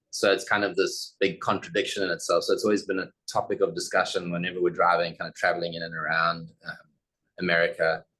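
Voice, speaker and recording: A man speaks with a South African accent. His pace is very fast. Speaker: architect. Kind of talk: presentation.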